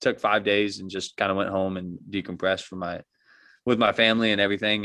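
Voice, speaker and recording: In a very clean recording with a silent background, a man with a fairly low pitch speaks at a fairly quick pace in an unremarkable speaking voice. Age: 20s. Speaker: college basketball player. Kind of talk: casual interview. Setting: call.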